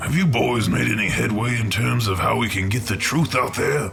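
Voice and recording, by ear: With clear music in the background, a man uses a cartoonish character voice at a medium pitch and a moderate pace.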